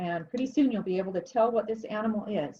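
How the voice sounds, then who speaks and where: A somewhat breathy woman's voice, fairly high in pitch, with ordinary pitch variation. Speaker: art teacher. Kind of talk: tutorial. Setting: home studio.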